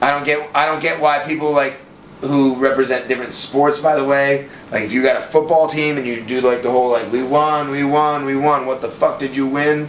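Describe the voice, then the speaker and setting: A man with an American accent at a fairly high pitch, fairly quick and monotone, with flat intonation, noticeable background noise and audible room echo. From US Northeast, Boston. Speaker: podcast co-host. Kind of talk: casual chat.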